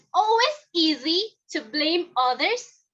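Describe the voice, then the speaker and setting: A woman's raised, projected voice, bright and sharp in tone, moves at a very slow pace. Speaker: toastmasters club member giving speech. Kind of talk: prepared speech.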